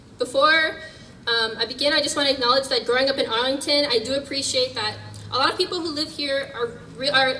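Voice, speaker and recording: A woman with an American accent, high-pitched and raised, projected, at a fairly quick pace, with noticeable background noise. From US Northeast. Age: 20s. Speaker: activist speaker. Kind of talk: public speech.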